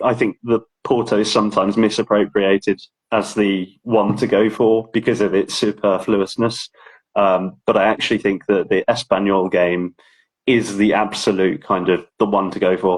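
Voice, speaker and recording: Speaking with an English accent, a man keeps a moderate pace and monotone, flat intonation. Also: dry, close sound with no echo. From England. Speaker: ticket collector and authenticator. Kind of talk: casual interview. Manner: halting.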